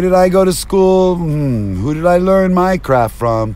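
Speaking at a very slow pace with an American accent, the voice makes very wide pitch swings over noticeable background noise. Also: man. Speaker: vlogger and rideshare driver. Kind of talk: rambling stream-of-consciousness vlog monologue. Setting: in a car. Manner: rambling, erratic and jumpy.

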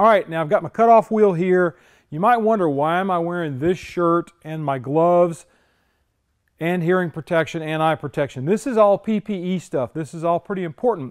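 The background is quiet. A man talks at a high pitch with ordinary pitch variation. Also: moderate pace. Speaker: car restorer host. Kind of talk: tutorial. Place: garage.

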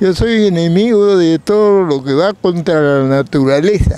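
A man's high-pitched voice carries a dark, mellow tone that is also clear and smooth, with ordinary pitch variation. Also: moderate pace.

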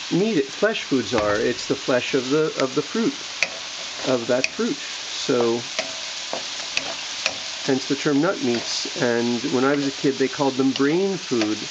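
The speech moves at a very slow pace, broken by long, frequent pauses. Loud background noise runs underneath. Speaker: health teacher. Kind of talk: cooking tutorial. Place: kitchen. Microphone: phone near.

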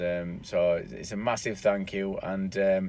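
A man's voice, dry with no echo. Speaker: business owner vlogger. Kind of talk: casual vlog chat. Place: car. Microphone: phone near.

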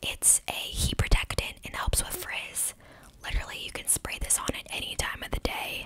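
Over loud background noise, a woman whispers at a moderate pace. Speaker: beauty product reviewer. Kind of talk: casual product review, ASMR-like. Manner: close-mic ASMR whisper. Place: home room. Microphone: studio mic.

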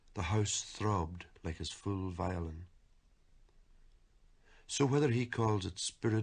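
In an Irish accent, a man talks at a very slow pace in a somewhat breathy voice with ordinary pitch variation. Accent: Irish lilt. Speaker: poet. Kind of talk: poetry reading.

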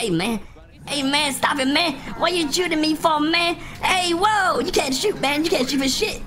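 A put-on character voice, high in pitch, moves at a moderate pace. Background noise is clearly audible. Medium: game stream. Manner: peppers speech with "man".

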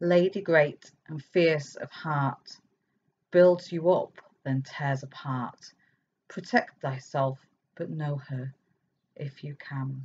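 At a very slow pace, a woman with a very deep, low pitch sounds somewhat breathy, her loudness swinging widely between long, frequent pauses. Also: ordinary pitch variation. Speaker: poet and author. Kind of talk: poem performed, reading own verse aloud; talk with poetry readings at online festival. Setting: online festival recording. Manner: lyrical, measured, expressive cadence. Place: home room. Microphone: webcam.

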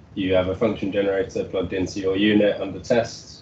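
Speech at a fairly quick pace, with light background noise and audible room echo. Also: man. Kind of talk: technical presentation. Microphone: video call.

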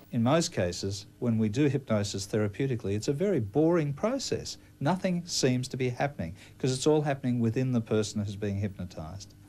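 At a fairly quick pace, a man with an Australian accent uses lively intonation in a dark, mellow, somewhat breathy tone. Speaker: clinical hypnotherapist. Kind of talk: news interview with hypnosis induction. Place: office.

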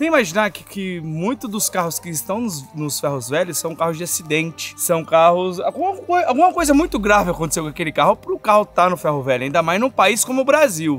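Over faint background music, a man talks at a fairly quick pace with hardly any pauses, the sound dry with no echo. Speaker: host. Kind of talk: casual vlog chat. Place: open country.

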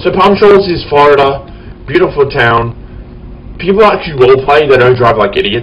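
A man pitched fairly high talks fairly quickly, with noticeable background noise behind him. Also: lively intonation. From Australia. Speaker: gaming YouTuber. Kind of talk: gameplay commentary. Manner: halting.

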